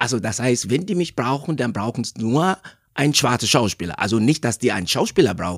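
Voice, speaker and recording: Very wide pitch swings mark this man's delivery, heard in a dry, close sound with no echo. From Nigeria. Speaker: actor. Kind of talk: interview. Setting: studio. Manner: halting, many fillers.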